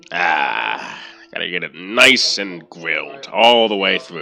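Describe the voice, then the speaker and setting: A booming, raspy put-on character voice speaks at a fairly slow pace. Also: man, very deep, low pitch for a man. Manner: jovial, chuckling.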